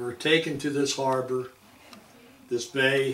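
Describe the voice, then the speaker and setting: A man speaks at a fairly slow pace. Room echo can be heard. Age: 80s+. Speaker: Navy veteran. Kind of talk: oral history interview. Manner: halting, with many restarts.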